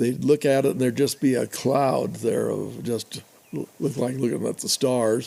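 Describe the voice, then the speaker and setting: A man's medium-pitched, dark and mellow voice with an American accent and ordinary pitch variation. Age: 80s+. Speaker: rancher and historian. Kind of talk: interview conversation. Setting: in-person interview.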